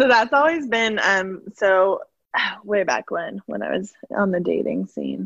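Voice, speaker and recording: A woman speaks with a slight Midwestern accent. The sound is dry and close, with no echo. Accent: slight Midwestern accent, long A vowels. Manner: laughs often, animated storyteller.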